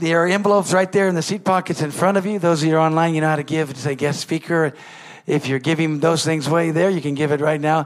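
This man has an unremarkable speaking voice with a fairly high pitch. His pitch variation is ordinary and his pace fairly quick. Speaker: pastor. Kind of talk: warm church announcements and offering appeal. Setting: church.

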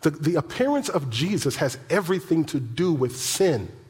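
The voice has an animated tone and a fairly slow pace. Audible room echo surrounds it. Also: man. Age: 50s. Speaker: pastor. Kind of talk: sermon. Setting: church.

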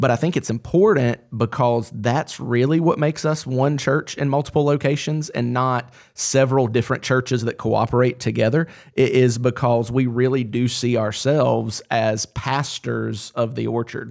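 In a very clean recording with a silent background, a man speaks at a medium pitch with fairly even intonation and hardly any pauses. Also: moderate pace. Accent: Southern US. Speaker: pastor. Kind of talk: roundtable discussion.

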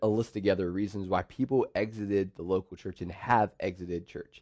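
Over a quiet background, a man with an American accent uses an ordinary speaking voice at a fairly low pitch, speaking at a fairly quick pace with ordinary pitch variation in a dry, close sound with no echo. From central Pennsylvania, US. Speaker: pastor. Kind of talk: sermon.

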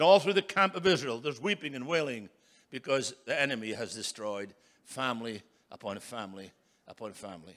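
A man with a Scottish accent talks at a fairly quick pace. His pitch swings very widely. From Scotland. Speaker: preacher. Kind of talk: sermon.

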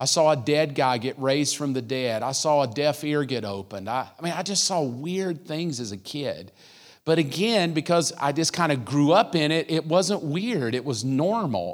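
An animated man at a moderate pace, fairly high in pitch with lively intonation and hardly any pauses, in a very clean recording with a silent background. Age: 50s. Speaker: guest pastor. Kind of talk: sermon. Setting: church service.

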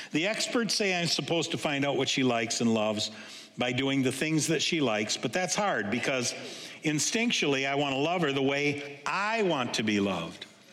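Noticeable background noise sits under a man speaking at a moderate pace and very even loudness. His fairly high pitch moves in very wide swings. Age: 60s. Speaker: pastor. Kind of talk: sermon. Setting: church. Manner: halting.

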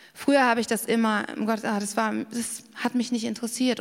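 This woman has an ordinary speaking voice, pitched fairly high and delivered at a moderate pace. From Bavaria, Garmisch-Partenkirchen. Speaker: preacher. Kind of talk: sermon.

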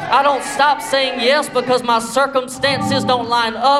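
Through noticeable background noise, a man speaks at an extremely high pitch with fairly even intonation and a fairly slow pace. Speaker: preacher. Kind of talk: sermon; rousing, fervent pulpit sermon with prayer and altar call. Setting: church. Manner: rhythmic, repetitive call-and-response style.

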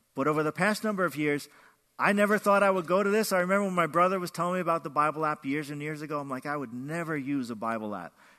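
Over a quiet background, a man talks at a very fast pace with lively intonation. His pitch is fairly high, and his tone is bright and sharp. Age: 60s. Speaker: former pastor. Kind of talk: sermon.

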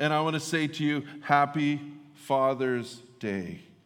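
Ordinary pitch variation from a man, plus audible room echo. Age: 50s. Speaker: pastor. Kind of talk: sermon. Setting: church.

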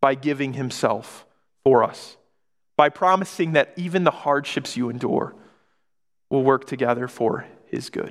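With an American accent, a man speaks at a fairly high pitch. His pace is moderate and his pitch varies in an ordinary way. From Michigan. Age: 20s. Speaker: pastor. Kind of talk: sermon.

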